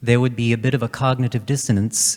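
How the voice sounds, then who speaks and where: A man's voice comes through on a very clean recording with a silent background. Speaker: male soprano opera singer. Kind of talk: panel discussion. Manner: halting.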